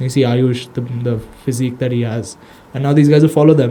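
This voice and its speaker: A man speaks with an Indian accent. His pace is very fast. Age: 20s. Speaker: social media manager for an MMA gym, podcast guest. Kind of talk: casual podcast conversation. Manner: casual, slangy.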